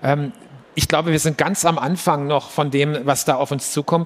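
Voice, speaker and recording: At a moderate pace, a man speaks with fairly even intonation in a fairly high voice. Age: 50s. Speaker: business executive. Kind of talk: live stage interview. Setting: stage with audience. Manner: halting.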